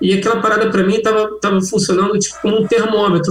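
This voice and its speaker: Against noticeable background noise, a man with a high pitch speaks at a fairly quick pace. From Rio de Janeiro, Brazil. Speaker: cannabis humor content creator. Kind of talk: casual chat. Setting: video call.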